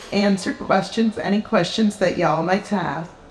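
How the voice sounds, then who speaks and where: A woman with an American accent, medium pitch, moderate pace, and noticeable background noise. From US Midwest, Appleton, Wisconsin. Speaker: novelist. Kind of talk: author talk and reading. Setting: live event with audience.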